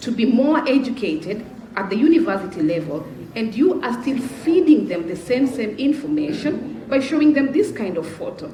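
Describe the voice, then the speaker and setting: With audible room echo and noticeable background noise, a woman talks at a fairly quick pace with a high pitch and very wide pitch swings. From Africa. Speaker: panelist. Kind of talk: panel discussion. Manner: animated.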